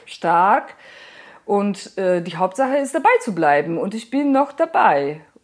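Very slowly, a woman speaks at a medium pitch with very wide pitch swings. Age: 40s. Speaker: artist. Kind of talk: interview. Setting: at home, lying in bed. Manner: halting, many fillers.

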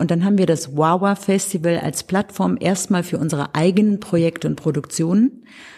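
This woman has an unremarkable speaking voice, fairly low in pitch. She talks at a fairly quick pace with ordinary pitch variation. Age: 60s. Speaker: artist and cultural association organizer. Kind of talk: interview.

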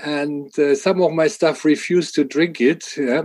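A man with a German accent speaks in a dark, mellow tone with fairly even intonation. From Germany. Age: 60s. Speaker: water association department head. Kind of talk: podcast interview.

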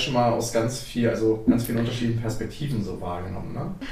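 At a fairly quick pace, a man speaks with a medium pitch in a room with audible echo. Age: 20s. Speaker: corporate culture change specialist. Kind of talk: casual chat. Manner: halting.

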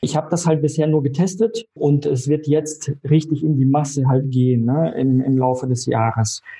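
At a moderate pace and with hardly any pauses, a man talks in a dark, mellow tone with a fairly high pitch, ordinary pitch variation, very even loudness and a somewhat breathy quality. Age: 30s. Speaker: insurance broker. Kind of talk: interview.

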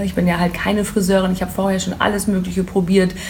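Amid noticeable background noise and audible room echo, a woman at a medium pitch speaks at a very fast pace in a monotone, flat intonation. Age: 30s. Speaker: hair tool sales rep. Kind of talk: interview. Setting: hair salon boutique.

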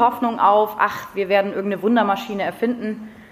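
Through noticeable background noise comes a woman at medium pitch with fairly even intonation. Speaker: climate activist and teacher-training student. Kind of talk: lecture.

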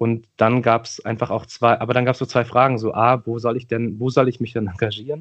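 A man's medium-pitched voice, fairly quick and flat in a monotone, over a quiet background. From Berlin-Neukölln, Germany. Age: 30s. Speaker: politician and teacher. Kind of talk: interview conversation.

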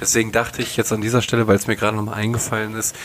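A man speaks at a fairly low pitch. There is noticeable background noise. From North Rhine-Westphalia, western Germany. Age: 20s. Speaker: podcast co-host. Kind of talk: casual chat.

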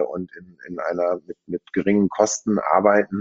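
Flat and monotone, a man speaks at a fairly low pitch. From Germany, Münster (Westphalia). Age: 40s. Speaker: car dealership executive. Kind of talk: interview. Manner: hesitant, many fillers.

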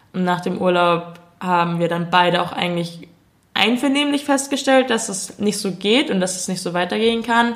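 A woman at a medium pitch, lively intonation, moderate pace, audible room echo. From Munich, Bavaria. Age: 20s. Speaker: YouTuber making comedy videos. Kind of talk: casual chat.

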